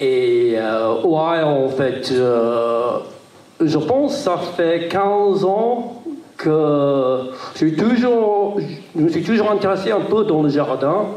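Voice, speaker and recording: Speaking very slowly in a British accent, a man with a fairly high pitch makes very wide pitch swings at very even loudness, with audible room echo and noticeable background noise. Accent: British accent in French, kept. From Great Britain, raised in Brittany from age seven. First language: English (speaking French). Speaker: small farmer, panel speaker. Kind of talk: panel talk. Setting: round-table with audience. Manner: halting, many hesitations.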